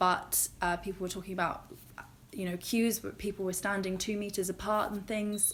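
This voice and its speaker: A woman's medium-pitched voice with a British accent, flat and monotone, at a moderate pace. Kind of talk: casual talk to camera.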